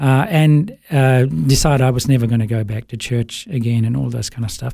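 A man's medium-pitched voice, dark and mellow in tone, with lively intonation. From Sri Lanka, raised in Melbourne, Australia from age 8. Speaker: business coach and former worship pastor. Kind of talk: interview, personal testimony. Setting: studio.

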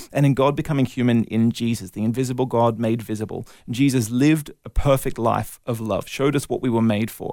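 A man's dark, mellow voice at medium pitch, fairly quick and with hardly any pauses, fairly even in intonation, on a very clean recording with a silent background. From Australia (Melbourne, then Brisbane). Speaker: evangelist and apologist. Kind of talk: interview testimony.

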